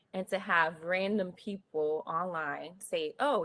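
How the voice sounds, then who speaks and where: A woman's medium-pitched voice, an ordinary speaking voice. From US Northeast, North Philadelphia. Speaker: tech professional, panelist. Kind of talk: panel discussion.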